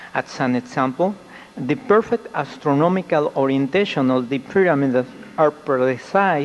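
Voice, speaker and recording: A man talks at a moderate pace with a fairly high pitch and lively intonation. Noticeable background noise is present. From Mexico. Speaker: UFO researcher. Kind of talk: conference presentation. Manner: formal.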